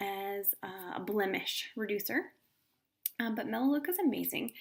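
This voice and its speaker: Soft-spoken, a woman talks at a fairly slow pace. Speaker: essential oils presenter. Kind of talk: live video talk.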